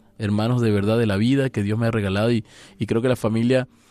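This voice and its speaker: In a very clean recording with a silent background and a dry, close sound free of echo, a man talks in a dark, mellow tone with fairly even intonation. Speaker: priest. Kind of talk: radio interview. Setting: studio.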